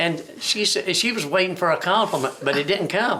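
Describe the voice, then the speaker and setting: Over noticeable background noise, a man with an American accent uses a raised, projected voice, lively intonation and a moderate pace. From Chincoteague Island, Virginia Eastern Shore. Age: 70s. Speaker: retired waterman. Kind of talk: oral history interview. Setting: museum. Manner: halting, with frequent repetitions.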